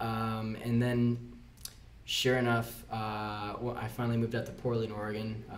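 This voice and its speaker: In an American accent, a man with a medium-pitched voice talks at a fairly slow pace in a monotone, flat intonation, with audible room echo. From Florida Keys, US. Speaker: tattoo apprentice. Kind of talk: casual chat.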